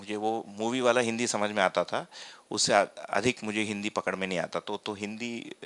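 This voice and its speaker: A man speaks with a Tamil accent at a moderate pace. His fairly low voice stays monotone and flat. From Tamil Nadu, India. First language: Tamil (speaking Hindi). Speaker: workshop facilitator, philosophy teacher. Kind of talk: personal testimony in a lecture. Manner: hesitant, many fillers.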